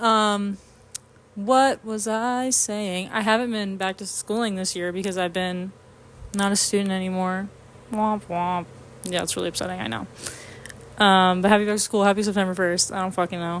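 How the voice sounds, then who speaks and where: A woman with a medium pitch speaks at a moderate pace with fairly even intonation, leaving long, frequent pauses. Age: 20s. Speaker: podcast host. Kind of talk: casual solo chat. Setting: home apartment. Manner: rambling filler words, lots of um.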